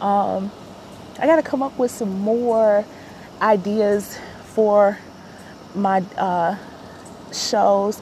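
A woman with an American accent speaks at a very slow pace, her medium-pitched voice moving with ordinary pitch variation between long, frequent pauses over noticeable background noise. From Chicago. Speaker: podcaster. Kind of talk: personal monologue.

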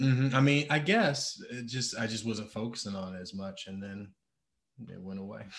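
A man talks at a medium pitch and moderate pace in an ordinary speaking voice. His pitch varies in an ordinary way while his loudness swings widely. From Detroit, Michigan. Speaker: personal trainer. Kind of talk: casual chat.

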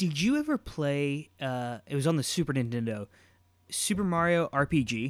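Here a man with a fairly high pitch speaks at a moderate pace in an ordinary speaking voice, with ordinary pitch variation. The recording is very clean with a silent background, and the sound is dry and close with no echo. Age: 20s. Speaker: podcast co-host. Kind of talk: casual chat.

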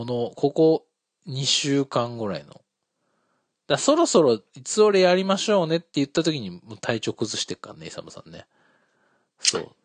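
Recorded dry and close with no echo, a man with a fairly high pitch speaks at a moderate pace, with very wide pitch swings, big shifts in loudness and long, frequent pauses. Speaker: podcast host. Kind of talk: casual chat. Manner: casual, joking, talkative.

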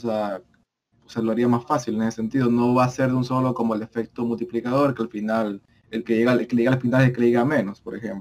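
This man speaks at a very fast pace with fairly even intonation. His pitch is medium. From El Salvador. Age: 19. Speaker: podcast co-host. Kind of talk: casual chat.

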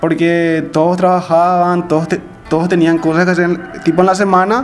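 A man speaks with a high pitch. Music plays in the background. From Areguá, Paraguay. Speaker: podcast host, accountant. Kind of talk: casual chat.

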